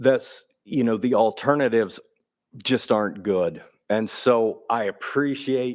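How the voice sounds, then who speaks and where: In a very clean recording with a silent background, an unremarkable speaking voice shows ordinary pitch variation. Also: man, medium pitch for a man. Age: 60s. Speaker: water utility official. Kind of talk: public meeting Q&A. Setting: city council meeting.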